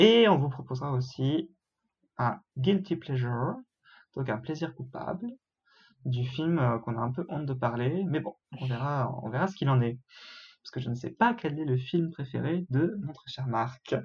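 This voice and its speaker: The somewhat breathy voice moves at a fairly slow pace with ordinary pitch variation and long, frequent pauses. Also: man, medium pitch for a man. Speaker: film student and podcast co-host. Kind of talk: casual chat.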